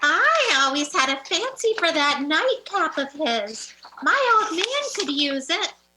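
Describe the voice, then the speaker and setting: A woman's cackling put-on character voice, extremely high and swinging very widely in pitch, at a fairly slow pace. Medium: stage play. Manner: coarse, cackling, working-class.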